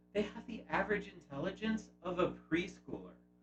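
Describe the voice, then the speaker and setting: Music sounds behind the voice. A man talks at a moderate pace. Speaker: YouTube host. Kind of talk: video essay narration.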